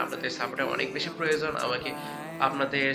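Clear music plays in the background. Over it, a man speaks in a monotone, flat intonation. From Bangladesh. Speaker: vlogger. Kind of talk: casual talk to camera. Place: home room. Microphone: phone near.

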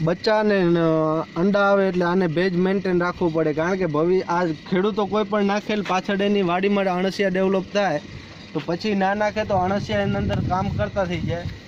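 A man speaks in a high, monotone voice with flat intonation and very even loudness. There is noticeable background noise. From India, Kutch, Gujarat. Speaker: organic farmer. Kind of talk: interview.

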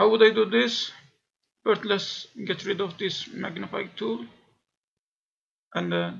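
A man with a high pitch and lively intonation speaks at a fairly slow pace, leaving long, frequent pauses. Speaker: science educator. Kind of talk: software tutorial.

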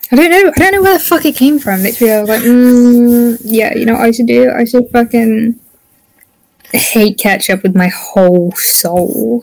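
Speaking with a British accent at a moderate pace, a woman has a fairly high pitch and lively intonation. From UK. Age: young. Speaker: student. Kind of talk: casual chat. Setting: video call.

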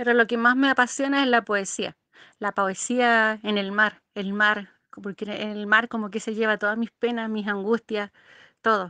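A woman's fairly high voice, bright and sharp in tone, at a fairly slow pace with flat, monotone intonation, recorded dry and close with no echo against a quiet background. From Chile. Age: 50s. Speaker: amateur poet. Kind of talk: interview. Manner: halting.

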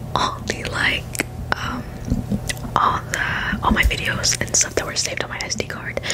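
Loud background noise fills the recording. A woman talks with long, frequent pauses. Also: moderate pace. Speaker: ASMR creator. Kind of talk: ASMR trigger video with rambling talk to camera. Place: home room. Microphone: studio mic.

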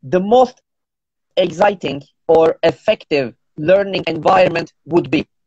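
The recording is dry, with no echo. In it, a man talks at a fairly slow pace. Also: quiet background. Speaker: interviewer, host of teacher talk series. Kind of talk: interview questions. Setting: Instagram live session. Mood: polite, friendly. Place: home room. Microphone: earbuds.

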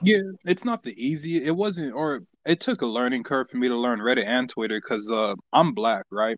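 In a normal speaking voice, a man with an American accent talks at a moderate pace and medium pitch, his intonation lively, the sound dry and close with no echo against a quiet background. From US Midwest (Kansas, small town). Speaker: musician. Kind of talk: casual chat. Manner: laid-back, slangy.

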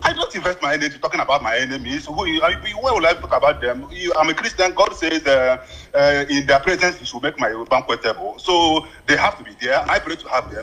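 A man at a very fast pace with a Nigerian accent, amid noticeable background noise. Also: big swings in loudness. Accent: Nigerian Igbo English. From Nigeria, Abia State. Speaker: radio call-in listener. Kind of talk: phone-in call. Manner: quiet.

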